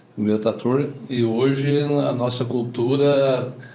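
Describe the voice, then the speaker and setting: With a dark, mellow tone and fairly even intonation, the voice carries over audible room echo. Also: man. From southern Brazil, Rio Grande do Sul (Lagoa Bonita do Sul). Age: 60s. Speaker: farmer. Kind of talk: casual interview.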